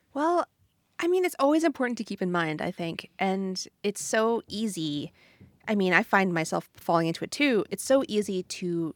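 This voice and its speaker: A woman with a plain, everyday voice talks at a moderate pace and medium pitch, her intonation lively. The recording is very clean and dry, close with no echo, over a silent background. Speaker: podcast co-host. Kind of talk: casual chat.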